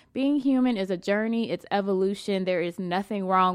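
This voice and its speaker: Animated in tone, a woman talks at a fairly quick pace in a medium pitch with ordinary variation. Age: 20s. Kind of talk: casual chat.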